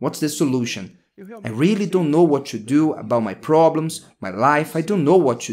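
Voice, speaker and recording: Against light background noise, a man with a fairly high pitch and vocal fry uses lively intonation, his loudness swinging widely. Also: moderate pace. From Brazil. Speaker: pastor. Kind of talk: sermon. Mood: calm, encouraging. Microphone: studio mic.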